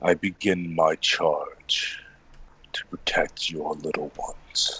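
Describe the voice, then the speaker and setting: Someone does a put-on character voice at a very slow pace. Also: man. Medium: actual play.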